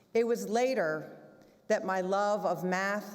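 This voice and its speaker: A woman speaks at a very slow pace and a medium pitch, with ordinary pitch variation and audible room echo. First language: German. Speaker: head of school. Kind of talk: closing remarks speech. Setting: school theater stage with audience.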